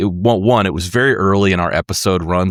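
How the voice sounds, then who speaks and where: In a very clean recording with a silent background, a man with an American accent speaks at a very deep, low pitch with fairly even intonation and a dry, close sound with no echo. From United States. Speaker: podcast host and musician. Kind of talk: interview conversation.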